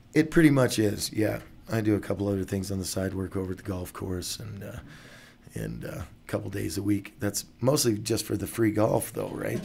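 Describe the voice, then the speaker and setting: A man with vocal fry talks at a fairly quick pace in a fairly low pitch. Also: ordinary pitch variation. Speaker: musician. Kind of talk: interview answer.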